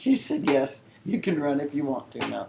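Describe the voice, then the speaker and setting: A woman with an American accent speaks at a moderate pace in a very deep, low pitch over noticeable background noise. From southern Illinois. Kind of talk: interview answer. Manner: storytelling.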